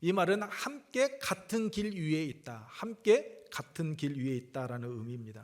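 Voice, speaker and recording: A man talks fairly slowly with a fairly high pitch. His pitch swings very widely. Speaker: pastor. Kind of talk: sermon. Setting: church with congregation.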